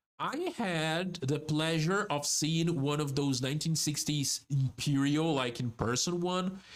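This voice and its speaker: A man with a Brazilian Portuguese accent talks at a fairly slow pace with ordinary pitch variation. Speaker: vtuber. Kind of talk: casual chat. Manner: halting; animated.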